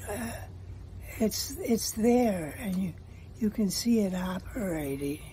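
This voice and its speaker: A woman speaks at a very slow pace with lively intonation and long, frequent pauses. Light background noise sits behind her. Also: medium pitch for a woman. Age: 80s+. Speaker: voter giving testimonial. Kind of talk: interview answer. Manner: hesitant. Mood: worried, upset. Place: home room. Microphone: phone near.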